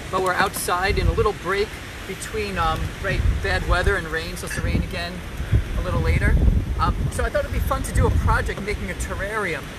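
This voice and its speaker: There is loud noise in the background. The sound is dry, without any echo. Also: man, fairly quick pace. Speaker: art class instructor. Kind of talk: tutorial. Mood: relaxed, friendly. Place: garden. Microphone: phone near.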